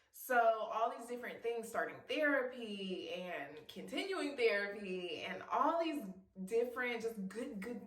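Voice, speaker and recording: Lively intonation marks this woman's speech, heard with audible room echo. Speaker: YouTube vlogger. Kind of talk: casual vlog talking to camera. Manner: animated.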